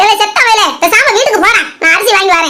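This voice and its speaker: A woman speaks in a cartoonish character voice at extremely high pitch. Her pace is moderate. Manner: scolding, loud.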